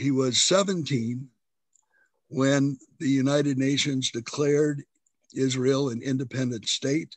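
At a very slow pace with long, frequent pauses, a man speaks at a fairly high pitch and with fairly even intonation. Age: 70s. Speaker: interviewer. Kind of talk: interview. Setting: video call.

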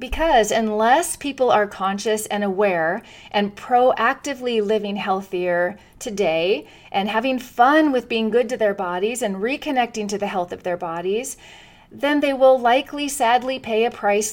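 Enthusiastic in tone, a woman speaks at a moderate pace and a fairly high pitch with ordinary pitch variation, captured in a very clean recording against a silent background. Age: 50s. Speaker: wellness podcast host. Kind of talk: solo podcast monologue.

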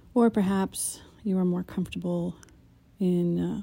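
On a very clean recording with a silent background, a woman speaks in a dark, mellow, calm, soothing tone. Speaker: meditation guide. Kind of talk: guided meditation intro, calm instructional walkthrough. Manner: calm, soothing, unhurried; gentle, warm and instructive.

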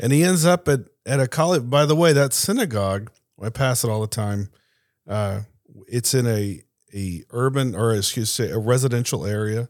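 In an unremarkable speaking voice, a man with an American accent speaks at a moderate pace and medium pitch with lively intonation, on a very clean recording with a silent background. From Tampa, Florida. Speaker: former military investigator and intelligence specialist. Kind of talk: panel discussion. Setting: studio.

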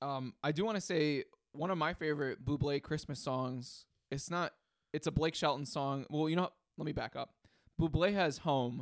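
An unremarkable speaking voice at a moderate pace with ordinary pitch variation comes through a dry, close sound with no echo on a very clean recording with a silent background. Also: man, fairly high pitch for a man. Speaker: music podcast co-host. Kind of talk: casual album review chat.

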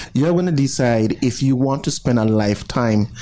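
With noticeable background noise in the clip, a man's medium-pitched voice shows ordinary pitch variation. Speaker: radio co-host. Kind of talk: casual radio banter. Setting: radio studio.

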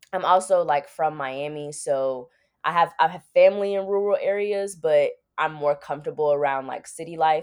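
Big swings in loudness in a normal speaking voice, with ordinary pitch variation and a moderate pace. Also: woman, fairly low pitch for a woman. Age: 20s. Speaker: pre-law undergraduate student. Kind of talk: interview conversation.

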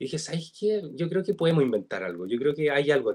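A man speaks at a fairly quick pace with a Chilean accent. His pitch is fairly high. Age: 20s. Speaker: TikTok content creator. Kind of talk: casual interview chat. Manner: halting, repeats words.

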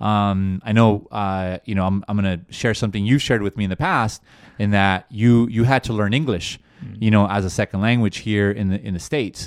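On a very clean recording with a silent background, a man speaks at a fairly quick pace with a fairly low pitch and fairly even intonation. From inner-city Los Angeles, US. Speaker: venture capital investor and former mayoral candidate.

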